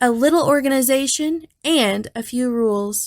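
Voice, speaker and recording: A woman talks at a moderate pace in a high, put-on character voice. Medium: read story.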